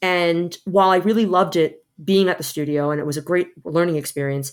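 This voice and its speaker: A woman with an American accent and a plain, everyday voice, fairly even in intonation at a moderate pace, in a very clean recording with a silent background. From New York. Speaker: visual effects artist. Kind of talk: interview.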